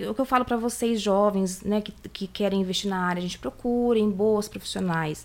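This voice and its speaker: A woman's ordinary speaking voice at medium pitch and a moderate pace. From Brazil, Campinas (São Paulo state). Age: 40s. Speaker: eyelash extension professional. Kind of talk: casual interview chat.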